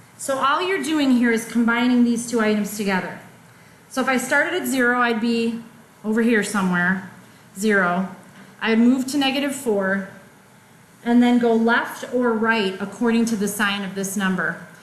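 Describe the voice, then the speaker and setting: Heard with audible room echo, the speaker keeps a moderate pace and ordinary pitch variation. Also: woman, fairly high pitch for a woman. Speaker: math teacher. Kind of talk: lecture.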